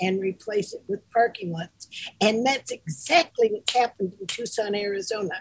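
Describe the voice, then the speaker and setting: This woman's voice sits fairly high and sounds somewhat breathy. Her pitch varies in an ordinary way. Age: 80s+. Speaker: co-host, groomer and mentor. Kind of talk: casual chat.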